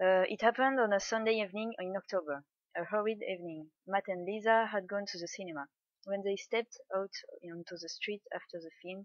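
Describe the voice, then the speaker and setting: A woman in a French accent at medium pitch, fairly quick, with big swings in loudness and ordinary pitch variation. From France. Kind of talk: book reading.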